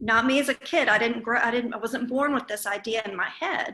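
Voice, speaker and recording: In a Southern US accent, a woman speaks at a fairly high pitch. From East Texas. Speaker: discussion group participant. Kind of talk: group discussion. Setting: video call.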